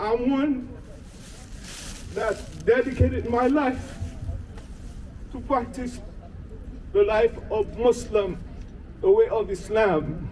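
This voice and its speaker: Over noticeable background noise, a man with an extremely high pitch and lively intonation talks at a very slow pace with long, frequent pauses. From Haiti. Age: 60s. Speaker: protester. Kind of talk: rally speech.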